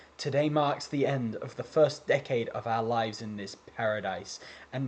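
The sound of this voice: Pitch moves in an ordinary way here. The delivery is an unforced reading voice.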